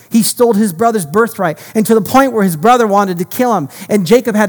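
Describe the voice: Simple, plain reading aloud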